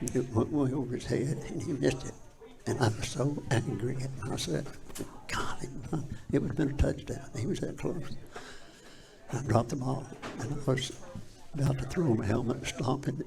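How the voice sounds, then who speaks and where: A man talks at a moderate pace with long, frequent pauses. Audible room echo and noticeable background noise are present. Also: medium pitch for a man. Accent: Appalachian. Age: 80s+. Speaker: former high school football player. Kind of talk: interview storytelling. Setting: live studio.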